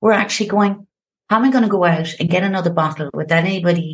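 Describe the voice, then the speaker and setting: A woman's somewhat breathy, fairly low voice with lively intonation and an Irish accent. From Ireland, Limerick. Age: 50s. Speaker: founder of a sobriety support platform. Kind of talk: podcast interview. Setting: home office. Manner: animated.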